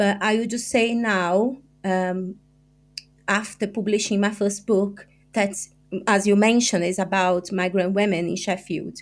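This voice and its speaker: A woman with a medium pitch speaks with a Brazilian accent at a fairly slow pace, with fairly even intonation. Long, frequent pauses break up her speech on a very clean recording with a silent background. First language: Portuguese. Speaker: journalist and author. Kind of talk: podcast interview. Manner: halting.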